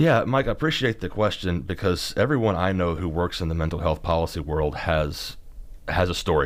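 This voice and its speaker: Speaking with a Kentucky accent, a man uses a very deep, low pitch, ordinary pitch variation and a fairly quick pace in a very clean recording with a silent background. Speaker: mental health policy advocate. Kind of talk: podcast interview. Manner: halting.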